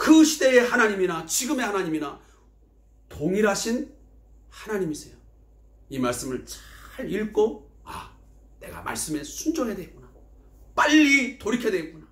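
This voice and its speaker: At a moderate pace with long, frequent pauses, a man speaks in a high pitch with very wide pitch swings and big shifts in loudness, amid audible room echo. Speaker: pastor. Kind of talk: sermon.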